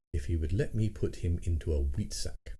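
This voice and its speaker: Somewhat breathy voice of a man, very deep and low in pitch, with a dark, mellow tone and very wide pitch swings. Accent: British. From England. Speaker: audiobook narrator. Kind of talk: audiobook reading of a classic short story.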